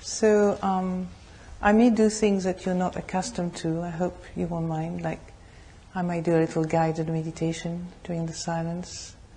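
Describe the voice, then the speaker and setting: With a French accent, a woman speaks at a moderate pace in a fairly low, dark and mellow, somewhat breathy voice with monotone, flat intonation. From France. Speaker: Buddhist nun, meditation teacher. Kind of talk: dharma talk introduction to a group.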